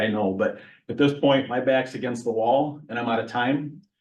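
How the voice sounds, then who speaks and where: A man with an American accent and fairly even intonation, with audible room echo. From central Michigan. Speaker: county sheriff. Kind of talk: public meeting update. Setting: council meeting at village hall. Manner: fast.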